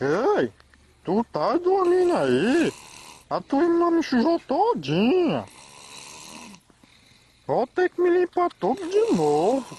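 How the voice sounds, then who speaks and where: A put-on character voice with a high pitch moves at a very slow pace with long, frequent pauses. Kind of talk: comedic pet video voiceover. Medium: dub.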